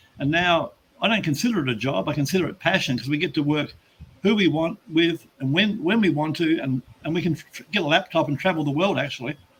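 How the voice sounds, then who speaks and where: Very fast speech with an Australian accent and ordinary pitch variation. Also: man, fairly high pitch for a man. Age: 70s. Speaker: business coach. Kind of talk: interview. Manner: halting, with frequent restarts.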